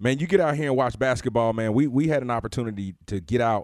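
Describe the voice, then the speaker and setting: Very fast speech with lively intonation on a very clean recording with a silent background. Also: man. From Alabama. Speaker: basketball coach, podcast co-host. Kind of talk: casual chat.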